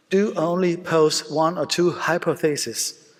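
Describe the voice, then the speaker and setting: A man is speaking. He has a Danish accent. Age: 50s. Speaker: surgeon. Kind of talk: conference lecture. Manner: halting, many fillers.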